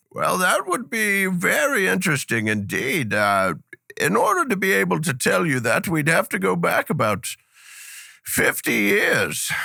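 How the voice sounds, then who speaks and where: A man puts on a raspy character voice and speaks at a moderate pace. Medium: audio drama.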